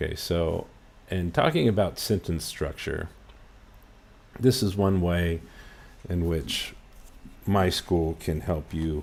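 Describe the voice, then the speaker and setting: In a West Coast US accent, a man speaks very slowly at a very deep, low pitch. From US West Coast, Los Angeles. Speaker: English teacher. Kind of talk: lesson. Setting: livestream.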